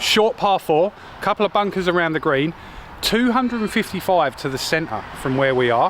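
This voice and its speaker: A man with an Australian accent, high pitch, lively intonation, and a fairly quick pace, over noticeable background noise. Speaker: golf vlogger. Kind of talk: casual chat; live commentary. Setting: outdoors.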